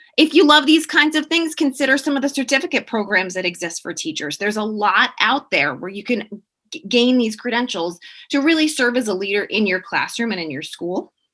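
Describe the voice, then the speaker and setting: Bright and sharp, a woman's high voice makes very wide pitch swings and big swings in loudness at a fairly quick pace. The background is quiet. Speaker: professor. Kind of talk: panel presentation. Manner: fast.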